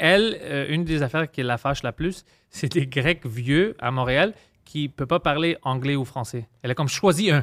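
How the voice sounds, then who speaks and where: An unremarkable speaking voice, a man's at a fairly high pitch and moderate pace with ordinary pitch variation, comes through a very clean recording with a silent background and a dry, close sound with no echo. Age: 30s. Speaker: comedian. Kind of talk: casual chat.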